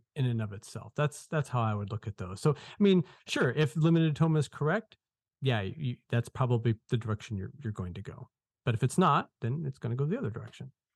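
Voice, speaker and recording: A man speaks at a fairly quick pace in a medium pitch, somewhat breathy, with lively intonation. The sound is dry and close with no echo, on a very clean recording with a silent background. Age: 40s. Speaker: author. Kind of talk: interview.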